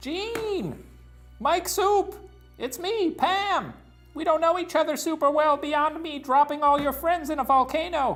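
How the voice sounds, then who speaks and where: Over faint music in the background, a man does a squeaky put-on character voice at an extremely high pitch and a fairly slow pace. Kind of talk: comic overacting. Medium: read story. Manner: brash, sassy.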